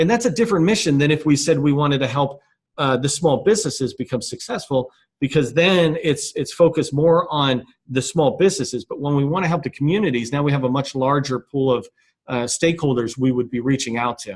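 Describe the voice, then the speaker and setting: A man's fairly high voice comes out somewhat breathy. He talks at a fairly quick pace with ordinary pitch variation. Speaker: business chamber founder presenting a webinar. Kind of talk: webinar presentation. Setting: conference call webinar. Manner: fast.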